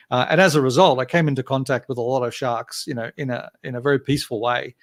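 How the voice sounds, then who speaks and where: A man with an Australian accent talks very fast at a medium pitch, with ordinary pitch variation. The sound is dry and close, with no echo. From Australia, Gold Coast. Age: 50s. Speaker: game company founder and writer. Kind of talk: casual interview chat. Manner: hesitant with many fillers.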